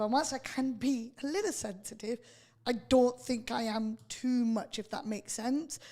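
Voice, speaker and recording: A woman's fairly high-pitched, dark, mellow voice with fairly even intonation. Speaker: radio host, litigation lawyer. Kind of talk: radio interview. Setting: radio studio. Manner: firm, sounds aggressive to others.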